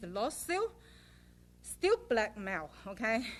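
The voice moves at a fairly slow pace while its pitch swings very widely. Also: woman. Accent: non-native. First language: not English. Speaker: public commenter. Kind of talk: public comment at council meeting. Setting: city council meeting. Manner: halting, repetitive.

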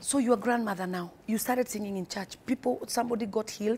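A woman with a fairly high pitch speaks at a fairly quick pace in a somewhat breathy voice. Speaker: TV talk show host and pastor. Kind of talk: interview on a faith talk show. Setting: studio. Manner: animated, warm, effusive.

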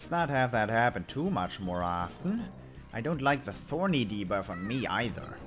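Over music in the background, a man with a German accent talks at a moderate pace in a medium pitch, with very wide pitch swings. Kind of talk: video game let's play commentary.

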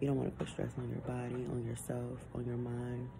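With noticeable background noise around her, a woman talks at a moderate pace. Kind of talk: casual vlog chat. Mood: earnest, faithful, reassuring. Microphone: phone near.

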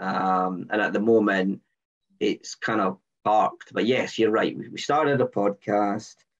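Against a quiet background, a man with a Scottish accent speaks at a fairly slow pace, his fairly low voice holding fairly even intonation. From Scotland, Edinburgh; Scotland. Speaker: engineering lead and agile coach; agile coach. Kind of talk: casual chat. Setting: video call. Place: home room. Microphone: video call.

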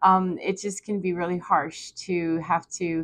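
At a fairly slow pace, a woman speaks in a fairly low pitch with monotone, flat intonation against a quiet background. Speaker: spiritual vlogger. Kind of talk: casual vlog chat. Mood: reflective, warm, laughing at times. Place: home room. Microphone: lapel.

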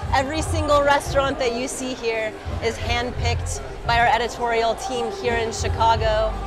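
Clear music can be heard behind this woman. She talks at a moderate tempo. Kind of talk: interview answer. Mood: cheerful, promotional. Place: street. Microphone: lapel.

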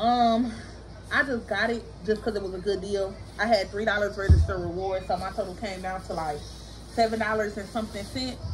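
A woman with fairly even intonation over noticeable background noise. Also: fairly quick pace. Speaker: mom vlogger. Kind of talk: casual vlog chat. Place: home room. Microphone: camera far.

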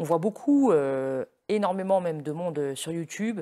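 A man speaks at a high pitch with a dark, mellow tone and lively intonation. The sound is dry and close with no echo, on a very clean recording with a silent background. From Lorraine, north-east France. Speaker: interviewer. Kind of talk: interview.

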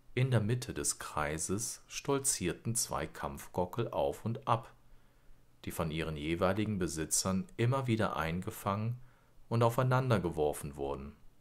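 A man's fairly low-pitched, normal speaking voice on a very clean recording with a silent background. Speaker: audiobook narrator. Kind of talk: bedtime story read aloud, scripted narration. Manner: calm, slow, soothing storyteller; gently expressive, lulling.

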